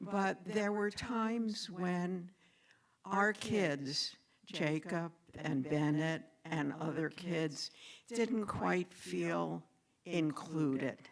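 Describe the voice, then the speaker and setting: At a very slow pace, a woman talks in a fairly low pitch with ordinary pitch variation. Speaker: inclusion network volunteer, teacher. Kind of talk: short community talk. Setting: synagogue service. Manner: loud.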